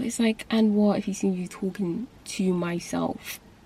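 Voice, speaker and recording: A woman whispers at a moderate pace, sounding somewhat breathy. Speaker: booktube vlogger. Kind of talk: casual vlog rant. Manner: whispering.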